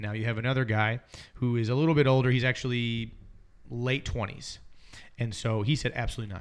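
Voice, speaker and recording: A man talks very fast at a medium pitch, with fairly even intonation. Long pauses come often. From Alabama, US South. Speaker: youth minister and podcast co-host. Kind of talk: casual discussion podcast.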